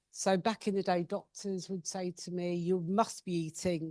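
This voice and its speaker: A woman with an English accent is heard against a quiet background in a dry, close sound with no echo. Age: 50s. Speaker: patient speaker. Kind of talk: personal talk at patient event. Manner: casual, self-deprecating.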